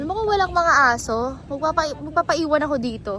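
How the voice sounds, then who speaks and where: This woman's voice is high in pitch, with very wide swings up and down. She talks at a moderate pace over noticeable background noise. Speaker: college student vlogger. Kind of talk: casual vlog. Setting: outdoors on campus. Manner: animated.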